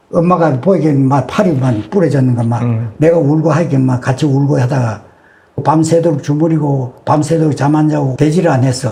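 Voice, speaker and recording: This man talks at a fairly quick pace with a Gyeongsang accent and a fairly high pitch. His loudness stays very even, and his pitch varies in an ordinary way. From Yeongju, North Gyeongsang, South Korea. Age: 80s+. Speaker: elderly man recounting wartime childhood. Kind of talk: oral history testimony.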